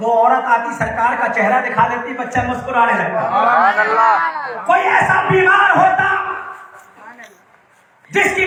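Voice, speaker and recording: A man's raised, projected voice with very wide pitch swings over crowd noise in the background. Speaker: Islamic preacher giving a religious sermon. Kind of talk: religious sermon at a milad gathering, storytelling. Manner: narrative preaching, expressive, direct address to audience.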